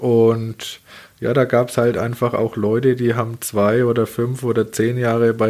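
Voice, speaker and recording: The speaker is a man at medium pitch. He talks at a fairly slow pace with monotone, flat intonation. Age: 30s. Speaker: baker and business owner. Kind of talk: interview conversation.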